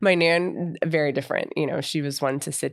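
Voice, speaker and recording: A woman with an American accent at a moderate pace, in a dry, close sound with no echo and a very clean recording, silent background. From US South (Tallahassee, Florida). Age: 30s. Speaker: podcast host. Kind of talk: personal monologue. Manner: unscripted, rambling with fillers.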